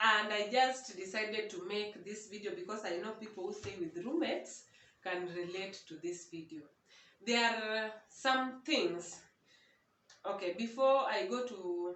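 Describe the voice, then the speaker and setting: Audible room echo surrounds a woman's medium-pitched voice. She talks fairly slowly with lively intonation. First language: not English (English is her third language). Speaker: vlogger. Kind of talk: casual vlog monologue. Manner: halting.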